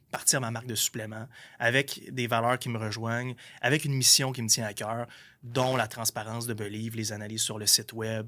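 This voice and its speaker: The voice moves at a fairly quick pace in a flat monotone. Its tone is bright and sharp. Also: man, medium pitch for a man. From Quebec, Gaspésie. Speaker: entrepreneur. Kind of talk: podcast interview. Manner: casual, slangy.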